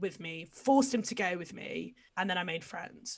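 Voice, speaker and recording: Vocal fry from a woman with an English accent, with lively intonation at a moderate pace. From England. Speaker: podcast guest. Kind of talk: casual chat. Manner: animated.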